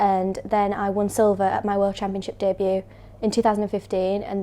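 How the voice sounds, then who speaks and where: Using a very fast pace, a woman speaks in a medium pitch with a dark, mellow tone and monotone, flat intonation. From Bradford, West Yorkshire. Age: 20s. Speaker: martial arts athlete and coach. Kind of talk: video self-introduction.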